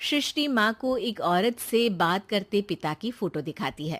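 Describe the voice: A woman's medium-pitched voice with lively intonation, at a fairly slow pace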